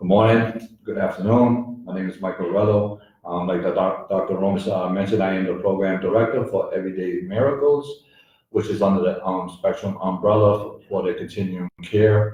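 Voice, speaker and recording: Somewhat breathy, a man with an American accent speaks at a fairly low pitch. His pace is fairly quick, with ordinary pitch variation. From Worcester, Massachusetts. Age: 40s. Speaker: peer recovery center director. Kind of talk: radio interview. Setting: live broadcast at recovery center. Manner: hesitant, many fillers.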